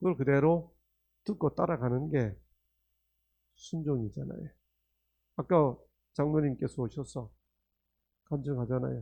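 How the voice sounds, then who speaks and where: Long, frequent pauses break up a man's speech. His pace is fairly slow and his pitch varies in an ordinary way. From Korea, Gangneung (Gangwon). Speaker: professor giving religious health lectures. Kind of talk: sermon-style lecture. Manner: interactive, asks audience questions.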